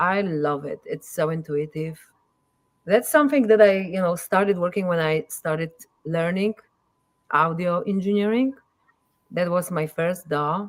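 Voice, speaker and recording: A woman in a Polish accent, fairly low in pitch, at a moderate pace, with ordinary pitch variation and long, frequent pauses. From Poland. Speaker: musician and audio engineer. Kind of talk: casual interview chat. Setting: live streamed podcast.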